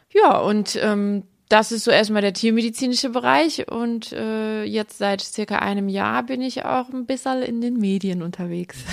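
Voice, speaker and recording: Speaking at a fairly slow pace with hardly any pauses, a woman talks at a fairly high pitch. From Aalen, Baden-Württemberg (Swabia). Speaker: veterinarian. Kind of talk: casual interview. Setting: at home on a sofa.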